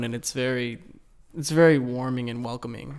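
A man's medium-pitched voice with an American accent at a moderate pace. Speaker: engineering student intern. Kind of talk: casual group interview.

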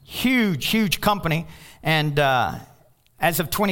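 With audible room echo, a man speaks at a fairly slow pace using lively intonation. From Kentucky. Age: 50s. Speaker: pastor. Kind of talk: sermon.

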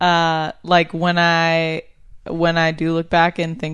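Against a quiet background, a woman with an American accent talks at a fairly low pitch. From upstate New York. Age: 20s. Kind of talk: casual interview chat.

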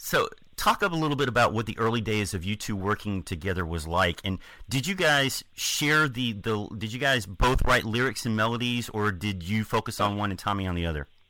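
Lively in intonation, a man with an unremarkable speaking voice talks at a fairly low pitch in a very clean recording with a silent background. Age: 50s. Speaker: podcast co-host and interviewer. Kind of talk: interview.

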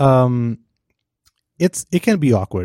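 A man talks with a non-native accent and lively intonation. The sound is dry and close, with no echo. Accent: foreign-accented English. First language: not English. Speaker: podcast host, designer. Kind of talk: casual chat.

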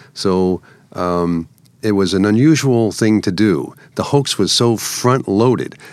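In an unremarkable speaking voice, a man with an American accent speaks at a fairly low pitch and fairly slow pace with ordinary pitch variation. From New York. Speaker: media prankster and artist. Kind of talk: interview, storytelling.

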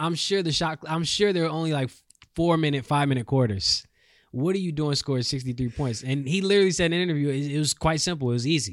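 On a very clean recording with a silent background, a man talks at a very fast pace and a fairly high pitch with ordinary pitch variation. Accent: American. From North Carolina. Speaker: sports podcast co-host. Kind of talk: casual sports chat. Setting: studio.

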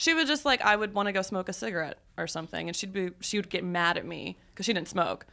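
A woman with an American accent speaks very fast at a medium pitch, her tone bright and sharp with vocal fry and lively intonation. The recording is very clean, with a silent background. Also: hardly any pauses. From US South. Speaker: podcast guest. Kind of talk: casual chat.

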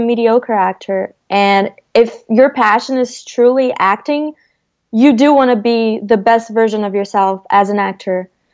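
A woman with a Portuguese accent, fairly high pitch, fairly even intonation and a fairly slow pace. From Brazil, Rio de Janeiro. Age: 20s. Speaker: actress. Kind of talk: casual interview.

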